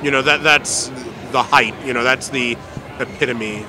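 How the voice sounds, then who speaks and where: A man speaks at a moderate pace with a medium pitch, over noticeable background noise. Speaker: ring announcer. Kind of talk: interview answer. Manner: casual, conversational.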